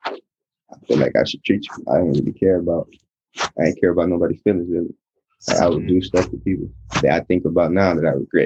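At a very fast pace, a man with an American accent speaks at a very deep, low pitch with a dark, mellow tone and fairly even intonation, in a dry, close sound with no echo. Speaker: rapper. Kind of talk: phone interview. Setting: phone call.

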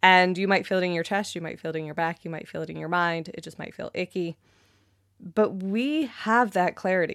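A woman with a Canadian accent talks at a fairly quick pace in an enthusiastic, animated tone with ordinary pitch variation. The sound is dry and close with no echo, in a very clean recording with a silent background. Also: medium pitch for a woman. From Canada. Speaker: intuition and energy coach, podcast host. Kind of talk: solo podcast talk, coaching.

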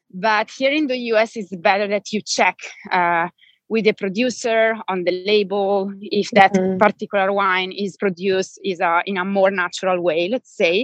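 A woman speaks with an Italian accent at medium pitch and a moderate pace. Her intonation is fairly even, and the sound is dry and close with no echo against a quiet background. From Italy, Bergamo (Lombardy). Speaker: wine educator and journalist. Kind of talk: interview conversation.

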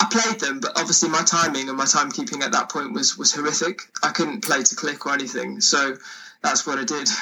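A man's fairly high, lively voice at a fairly quick pace, with noticeable background noise. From Wales. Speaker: singer-songwriter. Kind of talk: casual chat.

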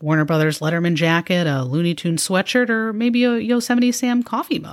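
In a very clean recording with a silent background, a woman with an American accent talks at a fairly quick pace in a plain, everyday voice, her fairly low pitch carried by lively intonation. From suburban Chicago, US Midwest. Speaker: podcast host. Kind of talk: scripted narration, nostalgic retrospective. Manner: conversational, warm, nostalgic.

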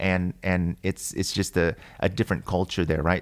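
A man with an American accent speaks at a moderate pace in a very deep, low voice. The recording is very clean and the background silent. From grew up in a military family, Germany then a small US East Coast town. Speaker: celebrity hairstylist. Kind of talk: interview. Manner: halting, many repetitions and fillers.

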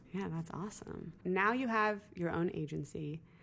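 A woman is speaking. Her pace is moderate. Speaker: podcast host. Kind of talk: casual interview. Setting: in New York City.

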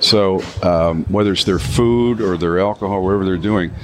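Against noticeable background noise, a man talks with very even loudness. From Canada. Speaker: vodka brand founder. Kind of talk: casual interview. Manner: animated storytelling.

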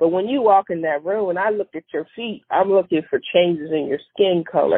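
This woman has an ordinary speaking voice, pitched in the medium range. She talks at a fairly quick pace with ordinary pitch variation. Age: 40s. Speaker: podiatrist. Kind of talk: casual chat.

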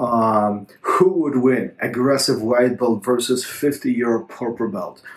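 A man's medium-pitched voice at a fairly slow pace, with hardly any pauses, ordinary pitch variation, and noticeable background noise. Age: 40s. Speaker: jiu-jitsu coach and podcast host. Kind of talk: solo podcast monologue answering a listener question. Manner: halting, with many fillers and repetitions.

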